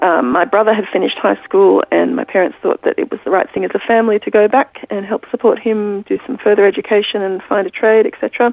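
A woman speaking at a fairly quick pace with hardly any pauses, amid noticeable background noise. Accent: Australian. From Pakistan and Australia. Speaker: author. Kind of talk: interview. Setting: remote from home.

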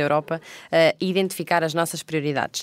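A woman talks in a fairly low pitch with fairly even intonation and a plain, everyday voice. The recording is very clean, dry and close, with no echo and a silent background. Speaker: podcast co-host. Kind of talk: moderated panel discussion. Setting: recorded on location at parliament.

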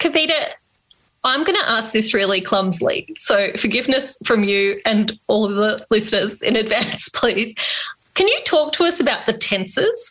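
In an Australian accent, a woman speaks with a fairly high pitch and lively intonation. Her loudness stays very even. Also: moderate pace. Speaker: podcast co-host. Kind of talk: interview; scripted outro.

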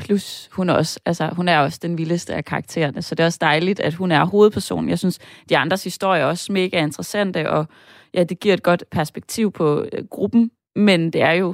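An unremarkable speaking voice from a woman, fairly low in pitch and at a moderate pace, dry and close with no echo in a very clean recording over a silent background. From northern Jutland, Denmark. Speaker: screenwriter. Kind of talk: casual chat.

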